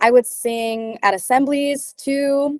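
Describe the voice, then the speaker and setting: The speaker talks with a Californian accent. The sound is dry and close, with no echo. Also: woman. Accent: Californian American. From Chula Vista, California, US. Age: 18. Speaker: singer and college student. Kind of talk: interview.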